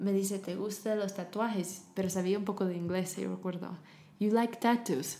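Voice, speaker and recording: Speaking at a moderate pace, a woman talks in an English accent. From US South, Tennessee. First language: English (speaking Spanish). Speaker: charity founder working with women. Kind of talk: interview.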